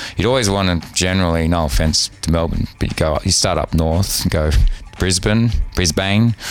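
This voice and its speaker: Over noticeable background noise, a man with an Australian accent speaks at a moderate pace in a very deep, low voice with ordinary pitch variation. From Australia, Sydney. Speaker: DJ and radio host. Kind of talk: casual chat. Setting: hotel room.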